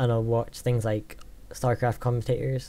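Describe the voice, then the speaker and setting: In a Scottish accent, a man with a dark, mellow tone speaks at medium pitch and a moderate pace. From Scotland. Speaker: gaming YouTuber. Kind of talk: Q&A vlog. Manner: hesitant, many fillers.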